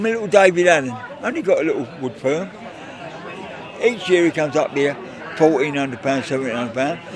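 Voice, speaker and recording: Amid crowd noise and audible room echo, a man with a fairly high pitch and lively intonation talks very fast between long, frequent pauses. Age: 80s+. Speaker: charity golf day organiser. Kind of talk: casual interview. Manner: animated.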